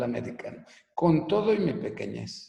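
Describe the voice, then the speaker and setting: A man speaks at a very slow pace in a dark, mellow tone with vocal fry. His intonation is lively. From Venezuela (Caracas), then Mexico from age 12. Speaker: business coach and author. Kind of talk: personal life story in a webinar talk. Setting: online live broadcast. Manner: casual, conversational.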